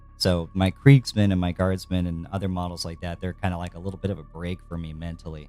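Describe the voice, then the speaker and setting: A man talks at a very fast pace with hardly any pauses, his pitch very deep and low. His intonation stays fairly even, and music plays in the background. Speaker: hobby streamer painting miniatures. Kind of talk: casual live-stream chat while painting. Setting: live stream. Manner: halting, with false starts.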